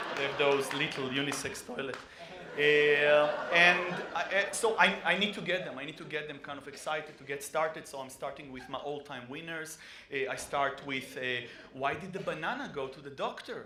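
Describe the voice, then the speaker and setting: Over noticeable background noise and audible room echo, a man with a non-native accent speaks at a moderate pace in a fairly high pitch, with ordinary pitch variation and big swings in loudness. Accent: foreign. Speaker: stand-up comedian. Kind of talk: stand-up.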